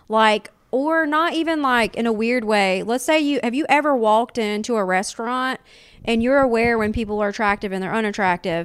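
With a Southern US accent, a woman speaks at a fairly quick pace and a fairly high pitch, with ordinary pitch variation. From US South. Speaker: comedian.

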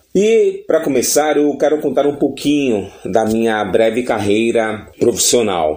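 Noticeable background noise runs behind this recording. A man speaks at a fairly slow pace with lively intonation. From Brazil, São Paulo coast (Baixada Santista). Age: 40s. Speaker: radio announcer and podcast host. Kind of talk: podcast monologue self-introduction.

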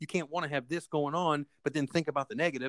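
The recording is dry and close with no echo as a man speaks at a fairly high pitch. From South Florida. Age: 40s. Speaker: car dealership owner and author. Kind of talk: interview. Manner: halting, repeats words.

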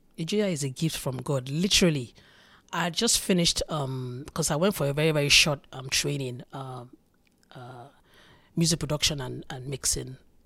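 On a very clean recording with a silent background, a woman speaks at a moderate pace in a very deep, low voice, with ordinary pitch variation and big swings in loudness. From Nigeria, Lagos. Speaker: Afrobeat musician. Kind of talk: casual chat.

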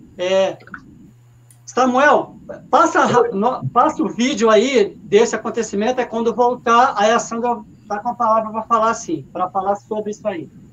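A man at extremely high pitch with ordinary pitch variation, a moderate pace, long, frequent pauses and noticeable background noise. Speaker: sports web show host. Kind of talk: casual live stream chat. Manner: halting, repeats words.

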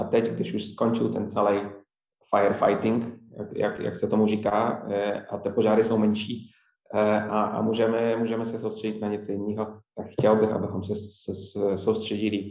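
A man talks with a Polish accent, and audible room echo surrounds his voice. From Poland, near Wrocław. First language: Polish (speaking Czech). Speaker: coffee chain manager. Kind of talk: interview. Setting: remote recording. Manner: halting, many repetitions.

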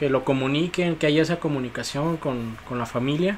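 A man talks at medium pitch with fairly even intonation, and noticeable background noise comes through. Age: 30s. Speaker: podcast host. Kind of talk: casual chat.

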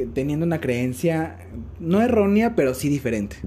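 Pitch swings very widely in a man's somewhat breathy speech. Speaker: podcast host. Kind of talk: casual chat. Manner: halting.

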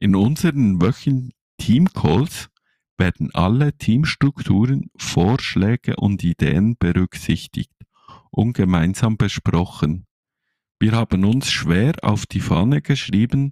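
Very slow speech in a Swiss German accent on a very clean recording with a silent background. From Switzerland. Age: 30s. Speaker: podcast co-host, network marketer. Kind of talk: sales pitch.

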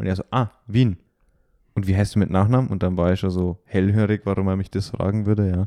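Against a quiet background, a man speaks at a fairly quick pace in a fairly low, dark, mellow voice. His intonation is monotone and flat, and the sound is dry and close with no echo. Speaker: trading card game podcaster. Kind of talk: casual chat.

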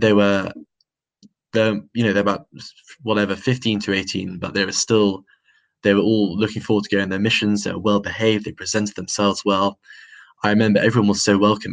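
A man speaks in a southern English accent at a fairly low pitch. His intonation is flat and monotone, broken by long, frequent pauses. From London, England. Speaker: religious convert. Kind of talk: testimony. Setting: video call.

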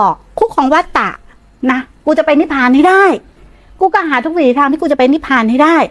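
A woman is speaking. Her intonation is lively. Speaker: Buddhist nun teacher. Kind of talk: dharma talk. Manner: blunt, informal; voice trails off at ends.

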